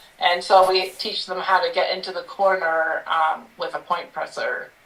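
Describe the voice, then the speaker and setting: Through noticeable background noise, a woman speaks very slowly at a medium pitch. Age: 50s. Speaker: sewing store owner. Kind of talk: casual interview chat. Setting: live stream.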